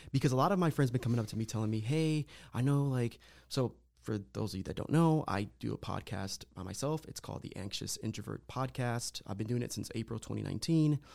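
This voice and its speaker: With a plain, everyday voice, a man speaks at a medium pitch with ordinary pitch variation in a very clean recording with a silent background. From Lorain County, Ohio, Puerto Rican family. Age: 30s. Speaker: guest sharing mental health story. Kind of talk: casual interview, personal testimony.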